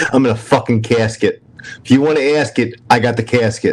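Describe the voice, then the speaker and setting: A man speaks with a strong New York accent. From New York, Brooklyn. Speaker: livestream host. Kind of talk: casual chat.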